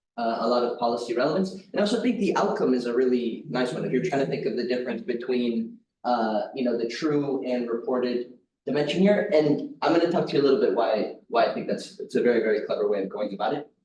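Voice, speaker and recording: A man at a very fast pace, with lively intonation. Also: medium pitch for a man. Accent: American. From United States. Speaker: academic economist, conference discussant. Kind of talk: conference discussant talk.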